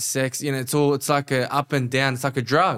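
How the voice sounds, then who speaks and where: A man speaks with an Australian accent at a moderate pace. The recording is very clean, with a silent background. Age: 30s. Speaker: life coach and entrepreneur. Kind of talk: casual interview chat. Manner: animated, passionate.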